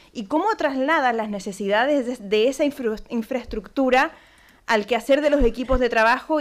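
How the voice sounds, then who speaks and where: In a Chilean accent, a woman speaks at a moderate pace and high pitch with ordinary pitch variation, on a very clean recording with a silent background. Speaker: panel moderator, cultural manager. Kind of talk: panel discussion moderation. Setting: conference room with audience. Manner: hesitant, many fillers.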